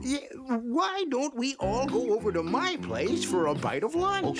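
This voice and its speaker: Over loud background noise, a man does a cartoonish character voice at an extremely high pitch and a fairly slow pace. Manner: chuckling, hesitant, genial.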